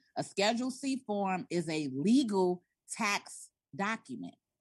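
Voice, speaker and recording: A woman's medium-pitched voice at a very slow pace against a quiet background. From South Side of Chicago. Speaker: tax and business consultant. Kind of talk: interview.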